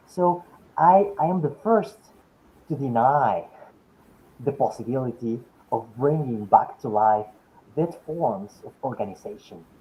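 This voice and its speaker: Speaking fairly slowly, a man leaves long, frequent pauses, his pitch swinging very widely and his loudness shifting a lot. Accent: Spanish. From Mexico City, Mexico. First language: Spanish. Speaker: philosophy professor. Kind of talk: academic lecture Q&A discussion. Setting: webinar video call. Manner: halting, with frequent repetitions.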